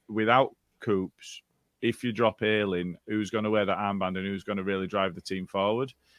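A man's fairly low voice with a Yorkshire accent, fairly even intonation and a moderate pace. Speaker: football podcast co-host. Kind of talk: casual chat.

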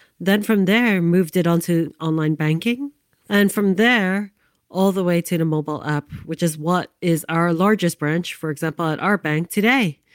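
A normal speaking voice from a woman with an American accent, fairly low in pitch, at a moderate pace with ordinary pitch variation, on a very clean, dry, close recording with a silent background and no echo. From US, New York City (Lower East Side). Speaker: podcast host. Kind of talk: storytelling narration.

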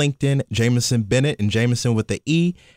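This voice has a Kentucky accent and moves at a fairly quick pace. The recording is very clean, with a silent background, and the sound is dry and close, with no echo. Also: man. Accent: Southern US (Kentucky). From US South, Kentucky. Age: 20s. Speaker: actor and media professional. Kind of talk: casual interview. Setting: studio, in person.

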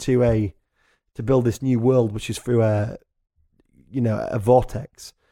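In a very clean recording with a silent background, a man with a Yorkshire accent speaks at a moderate pace in a dark, mellow tone. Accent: northern English (Yorkshire). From North Yorkshire, England. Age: 20s. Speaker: musician and journalist. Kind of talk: casual chat. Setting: studio.

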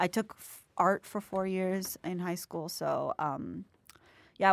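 A normal speaking voice from a woman with an American accent, fairly low in pitch, with ordinary pitch variation at a moderate pace, in a very clean recording with a silent background. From Jacksonville, Florida. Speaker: university student. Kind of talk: casual interview chat. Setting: studio. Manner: giggly, frequent laughter.

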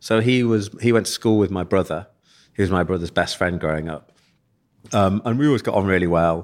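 A man with an East Midlands accent speaks fairly quickly at a very deep, low pitch with ordinary pitch variation. The recording is very clean, with a silent background. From East Midlands, England (Leicester). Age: 40s. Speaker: eyewear company founder. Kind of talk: casual interview chat.

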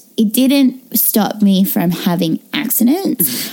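Lively intonation in an Australian accent, with noticeable background noise. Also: woman. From Australia, Perth. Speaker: burlesque performer. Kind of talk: casual chat.

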